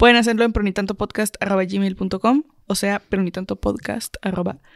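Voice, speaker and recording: Heard with a dry, close sound and no echo, a woman at medium pitch keeps her intonation fairly even. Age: 20s. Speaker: podcast co-host. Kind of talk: casual chat.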